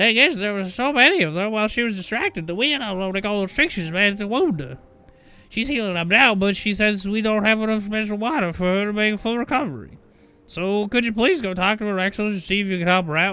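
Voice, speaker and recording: A man uses a put-on character voice with a high pitch. He talks at a very fast pace. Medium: game stream. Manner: unsettled, wavering pitch.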